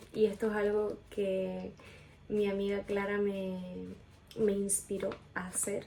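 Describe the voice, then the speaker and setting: In a room with audible echo, a soft-spoken woman at medium pitch talks at a very slow pace with monotone, flat intonation and long, frequent pauses. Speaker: video blogger. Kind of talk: personal testimony, answering questions. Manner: quiet, speaking softly; casual, filler-heavy.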